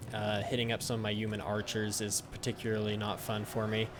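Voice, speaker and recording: Noticeable background noise is present. The speech moves fairly quickly. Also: man. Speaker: gaming YouTuber. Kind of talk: gameplay commentary. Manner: halting, many fillers; fast.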